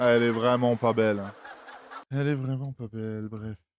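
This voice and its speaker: A man of medium pitch speaks at a moderate pace in a monotone, flat intonation, his loudness swinging widely. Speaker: gaming streamer. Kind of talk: let's play commentary.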